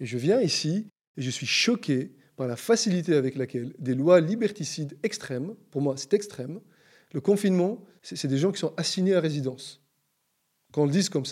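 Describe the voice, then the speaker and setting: A man's fairly high voice with lively intonation at a moderate pace, broken by long, frequent pauses, in a very clean recording with a silent background. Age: 40s. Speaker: citizen sharing views on the COVID crisis. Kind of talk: interview conversation.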